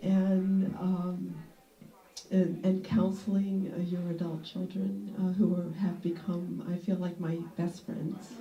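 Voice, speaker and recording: Audible room echo and noticeable background noise surround a woman speaking at a very slow pace. Her voice is medium in pitch, with fairly even intonation. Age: 60s. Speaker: retired nurse. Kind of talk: casual group discussion. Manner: halting, many fillers.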